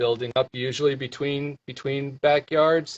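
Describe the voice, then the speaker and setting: Breathing somewhat into his words, a man speaks at a fairly high pitch and a moderate pace, in a dry, close sound with no echo. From Iowa, US Midwest. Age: 40s. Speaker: ultrarunner. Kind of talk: interview. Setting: live video stream. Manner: halting, many fillers and repeats.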